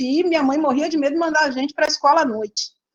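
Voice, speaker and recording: A woman speaks with ordinary pitch variation. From Brazil, interior of São Paulo state (Presidente Prudente). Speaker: statistics professor. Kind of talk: panel interview talk. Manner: halting, many fillers and restarts.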